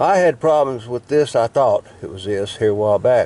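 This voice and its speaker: A man speaks at a moderate pace in a dry, close sound with no echo. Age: 60s. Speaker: YouTuber showing truck repairs. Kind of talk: casual how-to demonstration. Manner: halting, with fillers.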